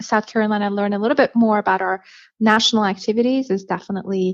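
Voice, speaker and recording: Speaking with a Persian accent at a fairly quick pace, the voice shows ordinary pitch variation. The sound is dry and close with no echo, and the background is quiet. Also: woman. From Iran. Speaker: education advocacy organization head. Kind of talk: podcast interview.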